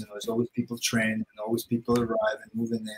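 A somewhat breathy man speaks against light background noise. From Russia. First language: Russian. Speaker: martial arts gym manager and coach; coach. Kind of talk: casual chat. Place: home room.

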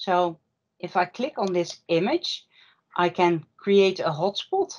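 A woman with a Dutch accent speaks at a very slow pace with ordinary pitch variation over a quiet background. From Netherlands. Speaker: workshop presenter; presenter. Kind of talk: online workshop presentation. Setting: video call. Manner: apologetic about English, hesitant. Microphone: video call.

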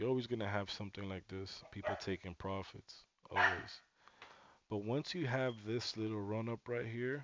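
Despite loud background noise, the sound stays dry with no echo as a man talks at a moderate pace with ordinary pitch variation. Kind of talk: commentary. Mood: excited, upbeat.

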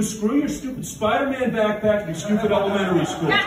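Audible room echo and noticeable background noise surround a man's voice. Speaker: stand-up comedian. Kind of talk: stand-up comedy routine. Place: stage.

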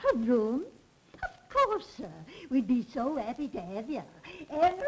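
A woman talks fairly slowly at a high pitch, with very wide pitch swings. There is noticeable background noise. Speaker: English landlady, fussy boarding house keeper. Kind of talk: 1930s radio-drama style film dialogue, scripted and theatrical. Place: home room. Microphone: old recording.

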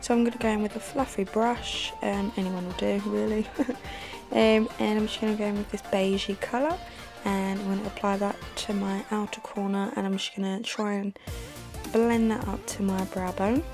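A soft-spoken woman whispers at a moderate pace while clear music plays in the background. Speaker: makeup tutorial vlogger. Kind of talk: casual makeup tutorial talk to camera. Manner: soft, half-whispered. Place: home room.

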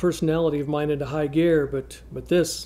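A man talks at a fairly quick pace with monotone, flat intonation. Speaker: actor playing a gruff cop on a dating video. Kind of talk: comedic scripted monologue. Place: studio.

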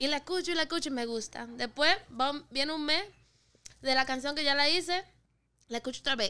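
Using a raised, projected voice, a woman with a high pitch and a bright, sharp tone speaks at a fairly quick pace with ordinary pitch variation and long, frequent pauses. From Puerto Rico (Carolina, Dorado); Puerto Rico. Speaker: singer and rapper; podcast guest. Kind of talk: casual chat. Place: studio. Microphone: studio mic.

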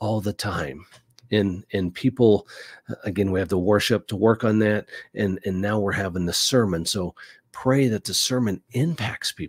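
A man talks in an ordinary speaking voice, at a fairly low pitch with ordinary pitch variation and a moderate pace. The sound is dry with no echo over a quiet background. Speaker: podcast host on church life. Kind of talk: casual advice talk. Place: studio.

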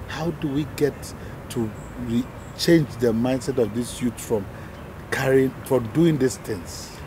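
A man at a very slow pace with long, frequent pauses and ordinary pitch variation, a dry sound with no echo, and noticeable background noise. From Nigeria. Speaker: TV talk show host. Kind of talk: TV interview. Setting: on location outside the studio.

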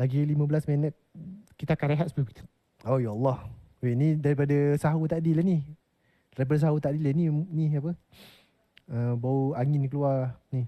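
With a dark, mellow tone, a man talks at a moderate pace and ordinary pitch variation against a quiet background. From Malaysia. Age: 30s. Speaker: streaming workshop presenter; presenter. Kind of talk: lecture. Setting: video call. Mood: relaxed, joking. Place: hall.

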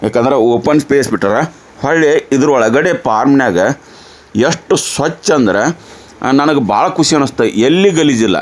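A man talks with lively intonation at a fairly high pitch, his loudness very even. Noticeable background noise runs behind him. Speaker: farm video channel host. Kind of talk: on-site farm interview.

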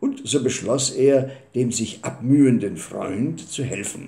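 A man's dark, mellow, somewhat breathy voice moves at a very slow pace. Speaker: storyteller. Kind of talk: storytelling reading. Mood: calm, warm narration. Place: home room. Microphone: webcam.

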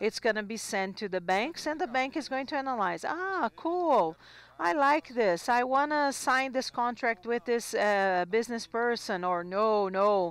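A woman with a fairly high pitch speaks at a fairly slow pace with hardly any pauses and very wide pitch swings. The sound is dry, with no echo. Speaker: simultaneous interpreter; presenter. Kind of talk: simultaneous interpretation of conference talks. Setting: conference hall. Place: hall. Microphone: handheld.

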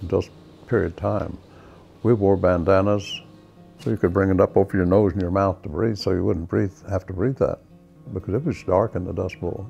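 Over faint background music, a man with an Oklahoma accent speaks at a moderate pace with a fairly low pitch and ordinary pitch variation. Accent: Oklahoma, US Southern Plains. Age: 80s+. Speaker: war veteran. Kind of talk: testimony. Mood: warm, reflective. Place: home room. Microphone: lapel.

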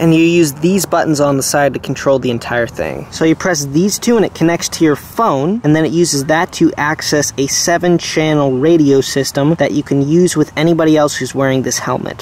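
A man talks at a fairly quick pace with hardly any pauses. The sound is dry with no echo and light background noise. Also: ordinary pitch variation. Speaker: vlogger reviewing a bike. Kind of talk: casual vlog chat. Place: forest. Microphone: phone near.

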